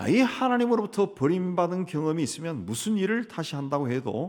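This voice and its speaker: Pitch swings very widely as a man talks in a high register at a moderate pace. The recording is very clean, with a silent background. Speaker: pastor. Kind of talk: sermon.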